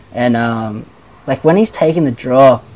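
Speaking with an Australian accent, a man talks at a moderate pace in a medium pitch with ordinary pitch variation. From Australia, Nelson Bay NSW. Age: 20s. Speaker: bodyboarder. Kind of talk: casual chat.

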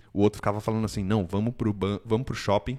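On a very clean recording with a silent background and a dry, close sound with no echo, a man with a São Paulo accent speaks at a fairly low pitch and fairly quick pace in a monotone, flat intonation. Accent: Paulistano Brazilian Portuguese. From Brazil, São Paulo city. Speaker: immigration consultancy owner. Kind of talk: casual chat.

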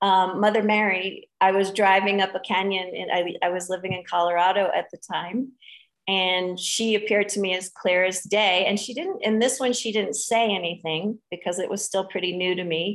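Speaking in a normal speaking voice, a woman keeps a medium pitch. Her pace is moderate and her intonation fairly even. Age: 40s. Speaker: spiritual teacher. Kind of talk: interview.

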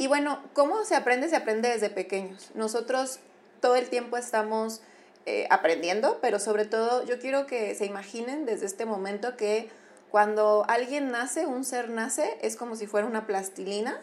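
A woman has an unremarkable speaking voice with a fairly high pitch. She talks at a moderate pace with ordinary pitch variation. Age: 30s. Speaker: clinical psychologist. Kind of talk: casual interview.

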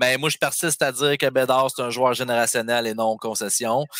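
Bright and sharp in tone, a man's voice comes through at a moderate pace with fairly even intonation and a dry, close sound with no echo. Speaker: hockey fan caller. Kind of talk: casual chat.

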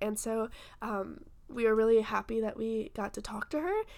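Speaking at a moderate pace in an ordinary speaking voice, a woman with an American accent uses lively intonation and a fairly high pitch, captured in a very clean recording with a silent background. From US South. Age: 20s. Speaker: podcast co-host, college student. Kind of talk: casual chat.

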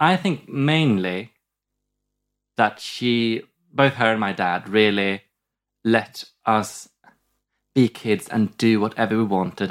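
A Swedish accent at a fairly slow pace with ordinary pitch variation, on a very clean recording with a silent background. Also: man. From southern Sweden. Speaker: comedian. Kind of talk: casual chat. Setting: studio.

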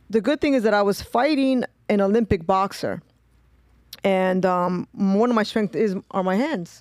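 In a New York accent, a woman speaks at a medium pitch with ordinary pitch variation, on a very clean recording with a silent background and a dry, close sound with no echo. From New York, Brooklyn (East New York). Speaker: pro fighter. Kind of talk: casual chat.

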